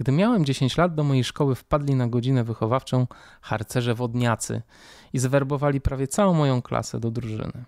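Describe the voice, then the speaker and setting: A man with a plain, everyday voice and medium pitch speaks at a fairly quick pace with ordinary pitch variation, recorded with a dry, close sound with no echo on a very clean recording, silent background. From Poland, Warsaw. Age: 40s. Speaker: podcast host. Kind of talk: personal monologue.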